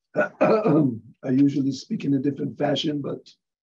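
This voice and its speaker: A man's somewhat breathy voice has a dark, mellow tone and a fairly high pitch. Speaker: professor. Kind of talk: interview.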